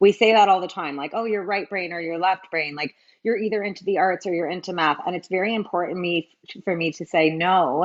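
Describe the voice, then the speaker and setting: Ordinary pitch variation from a female speaker. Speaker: math tutoring business owner and panelist. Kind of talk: panel discussion. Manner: animated, fast.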